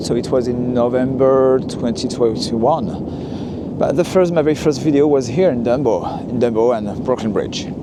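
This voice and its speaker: A man with a French accent speaks at a medium pitch with ordinary pitch variation. The audio carries audible room echo and noticeable background noise. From France, Lyon. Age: 40s. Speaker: walking tour vlogger. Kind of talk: narrated walking tour. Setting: outdoors, walking. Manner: hesitant, many fillers.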